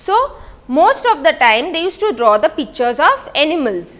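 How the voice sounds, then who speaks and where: This is a woman speaking. Her pitch is extremely high. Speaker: school teacher. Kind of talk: lecture.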